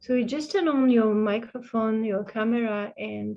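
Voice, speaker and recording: Fairly slow, somewhat breathy speech in a French accent, with fairly even intonation. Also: woman. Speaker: interpreter for a Buddhist teacher. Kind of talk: online retreat Q&A. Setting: video call. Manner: halting.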